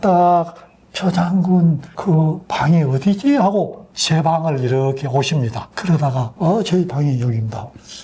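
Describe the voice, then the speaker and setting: The voice pitch is fairly high. It belongs to a man. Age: 80s+. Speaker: retired army general. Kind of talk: interview answer.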